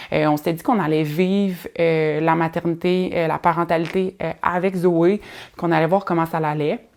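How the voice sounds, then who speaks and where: A woman with a Quebec accent, fairly low in pitch, monotone and flat, at a moderate pace, in a very clean recording with a silent background. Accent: Québécois French. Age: 30s. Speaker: podcast host. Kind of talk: casual solo podcast monologue. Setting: at home in living room. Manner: hesitant, many fillers.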